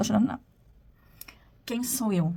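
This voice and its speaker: A woman's voice with vocal fry. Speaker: postgraduate student. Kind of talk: video presentation of a course assignment. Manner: partly read from a script.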